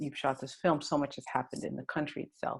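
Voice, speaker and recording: A woman's very deep, low voice carries vocal fry. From Sudan. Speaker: filmmaker interviewing a director. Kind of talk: interview Q&A.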